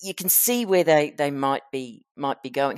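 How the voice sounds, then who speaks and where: A woman with an Australian accent speaks at a moderate pace. The recording is very clean and dry, with a close sound, no echo and a silent background. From Queensland, Australia. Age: old. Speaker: podcast host and author. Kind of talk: interview. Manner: halting.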